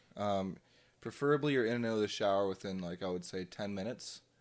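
On a very clean recording with a silent background, a man with an Ontario accent speaks very fast at a fairly low pitch. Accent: Canadian (Ontario). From Ontario, Canada (Drayton, near Kitchener-Waterloo). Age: 20s. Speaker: podcast co-host. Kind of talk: casual chat.

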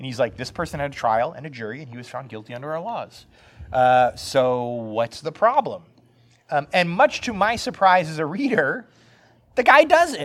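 An animated man speaks at a fairly high pitch with very wide pitch swings and big swings in loudness. His pace is moderate, with long, frequent pauses. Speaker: podcast co-host. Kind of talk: casual chat. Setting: cat cafe. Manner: joking, animated.

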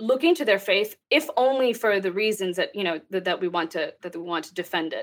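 A woman speaks with a Texas accent. Her pitch sits in the medium range. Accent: American, Texas. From Texas, US. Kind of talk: interview conversation.

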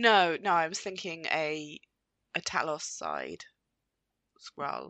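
A woman speaks at a fairly low pitch with ordinary pitch variation and vocal fry. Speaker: podcast host. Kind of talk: casual chat.

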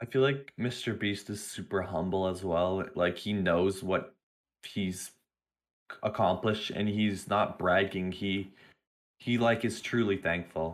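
A plain, everyday voice at a fairly slow pace, in a very clean recording with a silent background. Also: man, fairly low pitch for a man. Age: young. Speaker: student. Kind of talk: casual chat.

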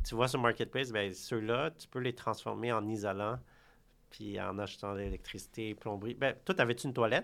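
Speaking at a moderate pace in a medium pitch with vocal fry, a man shows ordinary pitch variation and big swings in loudness on a very clean recording with a silent background. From Quebec. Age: 30s. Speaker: real estate broker. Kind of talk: interview. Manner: halting.

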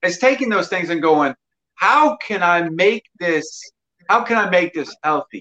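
A high-pitched man talks at a fairly slow pace with lively intonation. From Mississippi. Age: 40s. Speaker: personal trainer. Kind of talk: casual chat.

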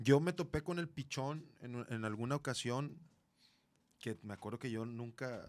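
A man's normal speaking voice at medium pitch, fairly slow, with ordinary pitch variation, in a very clean recording with a silent background. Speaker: rock musician. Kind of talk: casual chat.

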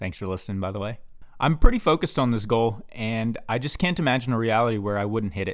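A man's normal speaking voice at medium pitch, with lively intonation, on a very clean recording with a silent background. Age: 20s. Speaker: podcast host and startup founder. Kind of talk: solo monologue podcast.

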